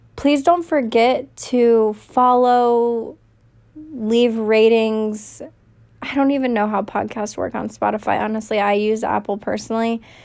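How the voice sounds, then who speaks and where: A woman with an American accent, fairly high pitch, fairly slow pace and fairly even intonation. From US South, North Carolina (Raleigh). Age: 20s. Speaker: podcast host. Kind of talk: casual monologue. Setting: home recording on phone. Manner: talkative, loud.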